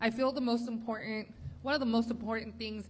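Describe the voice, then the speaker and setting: A woman's fairly high, somewhat breathy voice holds a flat, monotone intonation. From US, Spanish-speaking family. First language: Spanish. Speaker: political candidate. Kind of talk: candidate forum answer.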